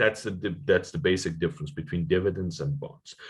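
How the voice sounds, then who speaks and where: Very wide pitch swings and a somewhat breathy voice in a very clean recording with a silent background. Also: man. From Iran. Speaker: economics lecturer. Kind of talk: lecture.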